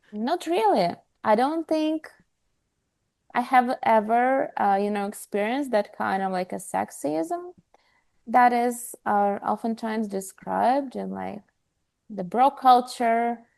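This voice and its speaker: A woman with a non-native accent speaks very slowly at a fairly high pitch, with lively intonation and long, frequent pauses. The background is quiet. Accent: foreign. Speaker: health startup co-founder. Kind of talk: podcast interview.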